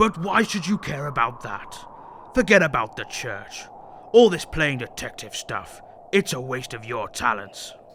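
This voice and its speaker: A put-on character voice at a moderate pace, full of very wide pitch swings, over clear background noise. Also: man, fairly high pitch for a man. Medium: audio drama. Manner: smug, mocking, silky.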